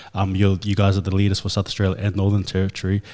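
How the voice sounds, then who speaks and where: With a fairly low pitch and a dark, mellow tone, a man talks at a very fast pace with fairly even intonation on a very clean recording with a silent background. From New Zealand (Auckland), Tongan background. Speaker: podcast host. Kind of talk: interview.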